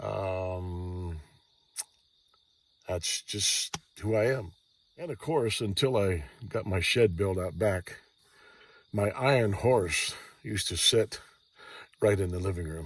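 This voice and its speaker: A man with an American accent speaks very slowly in a relaxed tone, with long, frequent pauses and a fairly low, somewhat breathy voice. His pitch variation is ordinary, and the recording is very clean with a silent background. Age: 60s. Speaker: vlogger. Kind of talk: casual monologue. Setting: lying in a Jeep outdoors at night. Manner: relaxed, hesitant with fillers.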